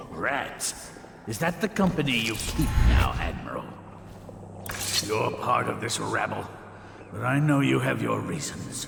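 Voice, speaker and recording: Clear background noise and a slight echo surround a man's put-on character voice. He keeps a moderate pace with long, frequent pauses. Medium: video game. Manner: haughty, theatrical.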